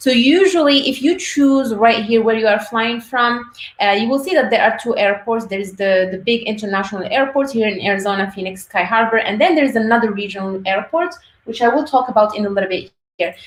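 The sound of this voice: Audible room echo surrounds a woman with a fairly high pitch. She talks at a fairly quick pace with ordinary pitch variation.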